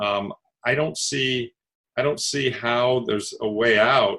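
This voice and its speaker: His pitch moves up and down in an ordinary way. The man's voice sits at a medium pitch. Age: 60s. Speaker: investment fund manager. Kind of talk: interview. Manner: hesitant, many fillers.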